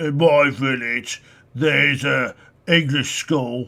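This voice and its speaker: Putting on a character voice, a man speaks raspy and very slowly at a medium pitch. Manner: exaggerated.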